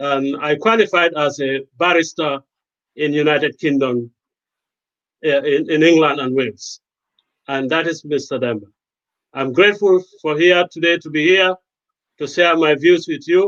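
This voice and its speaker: Long, frequent pauses in a Gambian accent, with a dry, close sound and no echo. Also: man, fairly high pitch for a man, ordinary pitch variation, moderate pace. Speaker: lawyer and medic. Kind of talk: panel discussion.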